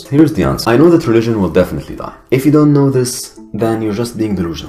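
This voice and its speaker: A man speaks with an Arabic accent and lively intonation. Music plays in the background. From Egypt. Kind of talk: personal testimony monologue.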